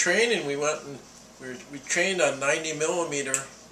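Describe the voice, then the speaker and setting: Moderate-paced speech against noticeable background noise. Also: man. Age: 80s+. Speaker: Korean War veteran. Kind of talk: interview answer.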